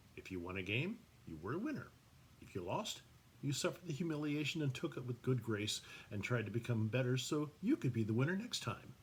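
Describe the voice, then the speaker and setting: A man's somewhat breathy, medium-pitched voice at a fairly quick pace, with very wide pitch swings. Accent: American. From Northern California. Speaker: author. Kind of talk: reading aloud.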